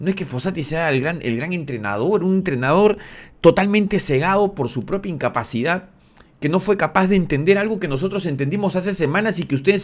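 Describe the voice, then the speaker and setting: An animated man's voice, high-pitched, with lively intonation and a moderate pace. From Peru. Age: 40s. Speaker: football commentator YouTuber; football commentator. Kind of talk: opinion rant video; sports opinion commentary. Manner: halting, repeating words. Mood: indignant, critical. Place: home room. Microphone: studio mic.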